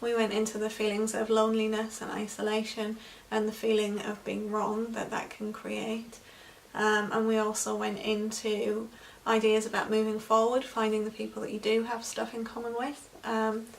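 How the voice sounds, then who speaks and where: A woman speaks in a fairly high, monotone voice with flat intonation, over noticeable background noise and audible room echo. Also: moderate pace. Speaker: EFT practitioner. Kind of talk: tutorial. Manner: unscripted, halting with fillers.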